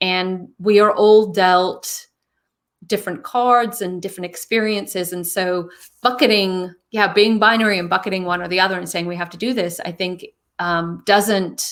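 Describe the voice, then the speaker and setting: A woman with a British accent and fairly even intonation. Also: medium pitch for a woman, moderate pace. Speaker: interview guest, speaker. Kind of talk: casual interview chat.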